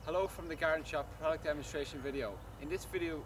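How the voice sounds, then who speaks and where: A man talks at a very fast pace. Noticeable background noise can be heard. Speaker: shop staff demonstrating a product. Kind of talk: product demonstration. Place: garden. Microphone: camera far.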